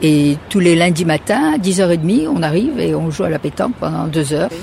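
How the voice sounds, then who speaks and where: Noticeable background noise behind a woman's very deep, low voice with ordinary pitch variation. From France. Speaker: retiree. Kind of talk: casual interview.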